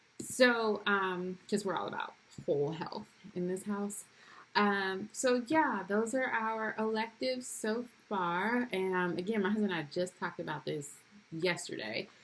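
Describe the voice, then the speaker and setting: This woman has a normal speaking voice, medium in pitch, with ordinary pitch variation at a fairly slow pace. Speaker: homeschooling mom vlogger. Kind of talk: casual vlog talk to camera. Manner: casual with many fillers.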